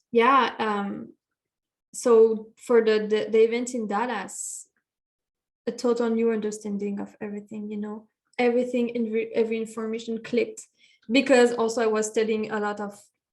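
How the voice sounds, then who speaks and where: A woman with a fairly high pitch speaks at a moderate pace in a monotone, flat intonation, her loudness swinging widely. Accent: French. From France. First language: French. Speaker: meditation coach. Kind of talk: podcast interview.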